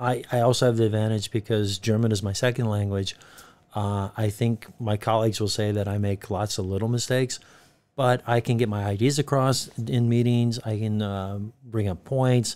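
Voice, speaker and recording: A man with an unremarkable speaking voice and an American accent, medium in pitch, at a moderate pace with fairly even intonation. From United States. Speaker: university lecturer. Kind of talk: podcast interview.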